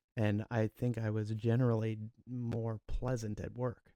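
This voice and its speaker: Very slowly, a man speaks in a medium pitch with fairly even intonation and a dry, close sound with no echo. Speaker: podcast co-host, first responder. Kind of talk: casual chat.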